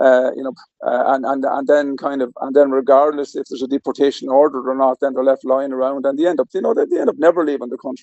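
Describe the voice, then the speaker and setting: A man in an Irish accent speaks at a very fast pace with a fairly high pitch and hardly any pauses. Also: fairly even intonation. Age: 60s. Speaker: political commentator guest. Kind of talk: political discussion. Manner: halting, many fillers.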